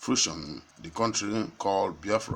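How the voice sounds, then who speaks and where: A man speaks at a fairly low pitch and a fairly slow pace. His is a normal speaking voice. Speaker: online news presenter. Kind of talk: news reading.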